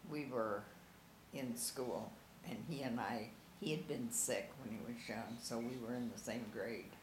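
Against noticeable background noise, a woman with a very deep, low pitch talks at a fairly slow pace with ordinary pitch variation. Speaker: interviewee recalling family memories; interviewee. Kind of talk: oral history interview. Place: home room. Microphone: camera far.

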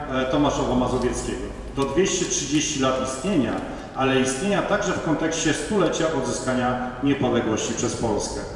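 A man speaks at a moderate pace over light background noise, with strong echo filling the room. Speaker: conference host. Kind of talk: formal welcome speech. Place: hall.

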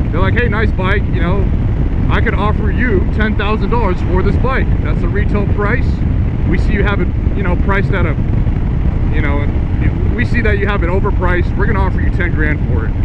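Loud background noise sits under a dry recording with no echo. A man talks at a fairly quick pace with ordinary pitch variation. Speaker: motorcycle vlogger. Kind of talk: casual vlog chat. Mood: amused, mildly indignant. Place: motorbike.

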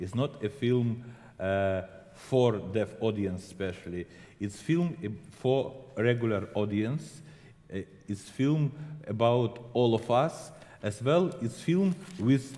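A man with a medium pitch and a dark, mellow tone speaks with lively intonation. His pace is very slow, with long, frequent pauses. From Ukraine. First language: Ukrainian or Russian. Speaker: film director. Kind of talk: interview. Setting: stage with audience. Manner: halting.

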